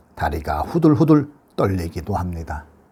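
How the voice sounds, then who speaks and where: The voice has a dark, mellow tone and a Busan accent, moving at a moderate pace. The recording is very clean, with a silent background. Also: man. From Busan, Korea.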